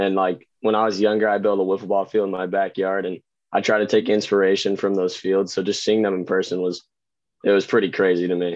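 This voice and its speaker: A man talks very fast in a flat monotone at a fairly low pitch. The background is quiet. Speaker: amateur wiffle ball pitcher. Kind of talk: interview.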